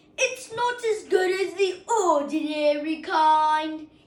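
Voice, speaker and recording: A woman puts on a character voice at an extremely high pitch. She speaks at a very slow pace with lively intonation. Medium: read story. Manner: grumbling, complaining.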